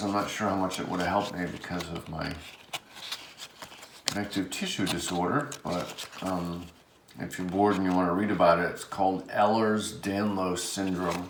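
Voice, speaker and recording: Someone mumbles in an American accent amid noticeable background noise and audible room echo. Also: man. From Rhode Island, US. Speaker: card collector and artist. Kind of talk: casual unboxing chat. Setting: indoors under overhead light. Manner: mumbling.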